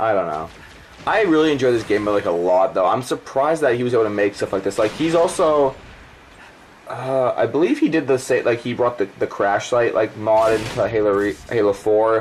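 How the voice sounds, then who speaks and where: A man with a medium pitch talks at a fairly quick pace with lively intonation over noticeable background noise. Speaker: gaming YouTuber. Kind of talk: game commentary over gameplay. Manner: stuttering; casual, rambling with fillers.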